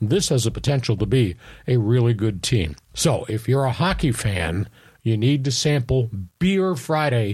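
An animated, energetic, somewhat breathy voice at a moderate pace, lively in intonation and very even in loudness, in a very clean recording over a silent background. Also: man, medium pitch for a man. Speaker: sports talk show host. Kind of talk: sports talk show banter. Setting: studio. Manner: animated, energetic broadcaster.

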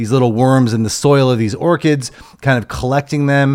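At a moderate pace, a man speaks with a normal speaking voice, a medium pitch and fairly even intonation. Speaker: returning guest. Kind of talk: casual chat about a film.

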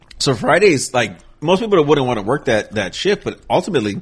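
Somewhat breathy, a man talks in an animated tone with very wide pitch swings. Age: 40s. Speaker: podcast co-host. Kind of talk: casual chat. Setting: live stream.

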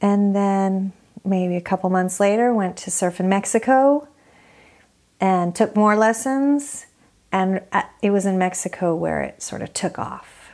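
A woman with an American accent has a plain, everyday voice and ordinary pitch variation. She speaks at a fairly slow pace in a very clean recording with a silent background. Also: medium pitch for a woman. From US West Coast, East Salinas, California. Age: 40s. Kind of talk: interview. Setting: at home.

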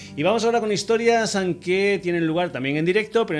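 A man talks rather briskly, and his pitch rises and falls in a typical way. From Extremadura, Spain. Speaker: radio music show host. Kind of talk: radio music show presenting.

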